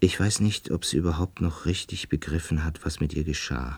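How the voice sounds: In a put-on character voice, a man pushes his pitch extremely low, with vocal fry and a slightly husky edge. His pitch variation is ordinary. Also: moderate pace.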